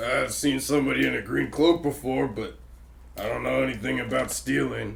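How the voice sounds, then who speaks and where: In a raspy, put-on character voice, a man talks at a moderate pace against clear background noise. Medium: actual play. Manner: evasive, gruff.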